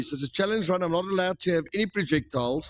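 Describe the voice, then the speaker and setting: Over music in the background, a high-pitched man with a South African accent speaks with ordinary pitch variation in a dry, close sound with no echo. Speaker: gaming streamer. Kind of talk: live gameplay commentary. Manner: casual, many fillers.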